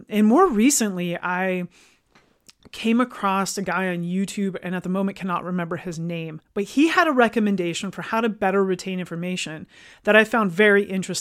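A woman with a plain, everyday voice speaks at a medium pitch and a fairly quick pace. Her pitch variation is ordinary, with big swings in loudness. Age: 40s. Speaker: fitness business owner and podcast host. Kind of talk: solo podcast monologue. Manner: casual, with frequent fillers and restarts.

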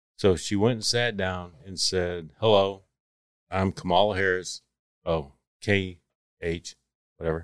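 A man's very deep, low voice in a Texan accent, fairly slow, with long, frequent pauses and fairly even intonation, in a very clean recording with a silent background and a dry, close sound with no echo. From Texas. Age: 30s. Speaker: construction worker. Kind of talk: casual chat.

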